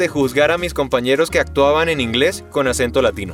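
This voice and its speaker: A man at a fairly quick pace with music in the background. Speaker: voice actor and dubbing director. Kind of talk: voice coaching talk to camera.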